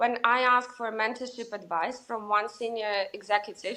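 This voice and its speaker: A woman with a Russian accent and a fairly high pitch. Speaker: sales executive. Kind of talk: interview. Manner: hesitant, many fillers.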